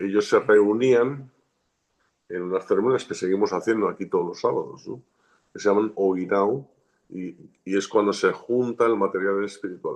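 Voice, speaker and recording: Long, frequent pauses break up a man's speech at a moderate pace. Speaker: shaman and martial arts teacher. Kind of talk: interview.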